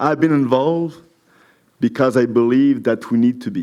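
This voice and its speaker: In a French accent, a man speaks with a dark, mellow tone. His medium pitch shows ordinary variation. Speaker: municipal council candidate. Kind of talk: campaign speech at candidates forum.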